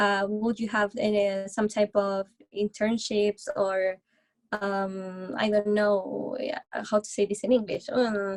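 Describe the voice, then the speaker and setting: A woman with a Spanish accent speaks at a very slow pace with a medium pitch and monotone, flat intonation. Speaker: recent graduate seeking music industry work. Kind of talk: interview Q&A. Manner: halting.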